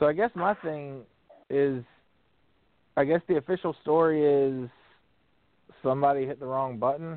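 A man with a fairly high pitch speaks at a moderate pace with ordinary pitch variation and long, frequent pauses. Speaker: radio co-host. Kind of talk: casual chat.

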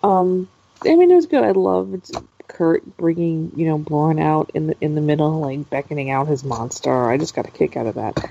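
Over noticeable background noise, a woman speaks at a moderate pace. Her pitch is very deep and low, with lively intonation. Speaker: wrestling podcast co-host. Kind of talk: casual chat.

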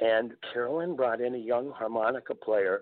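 Ordinary pitch variation marks this man's medium-pitched delivery, which moves at a moderate pace. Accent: Minnesota. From northeastern Minnesota (Virginia, MN). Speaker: folk musician. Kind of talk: casual interview chat.

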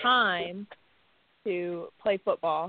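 Pitched in the medium range, a woman's unremarkable speaking voice shows ordinary pitch variation. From Canada, Windsor, Ontario. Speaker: women's football player. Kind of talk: casual chat.

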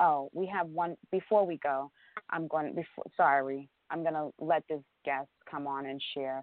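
This woman's pitch is very deep and low. She keeps a fairly even intonation. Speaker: radio show host. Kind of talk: supportive talk radio discussion. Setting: call-in radio show. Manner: warm, affirming.

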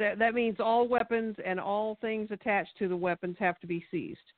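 She has a plain, everyday voice. The woman talks at a moderate pace, her pitch varying in an ordinary way. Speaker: local party activist. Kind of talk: radio interview. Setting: phone call.

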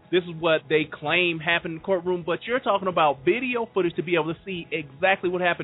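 Speaking at a very fast pace with hardly any pauses, a man uses a high voice with ordinary pitch variation. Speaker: co-host of legal advocacy show. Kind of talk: discussion of politics and justice.

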